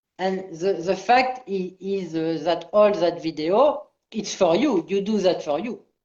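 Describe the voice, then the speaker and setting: A woman with a French accent talks at a fairly slow pace in a medium pitch, with a dark, mellow tone and ordinary pitch variation. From France. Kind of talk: casual chat. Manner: halting.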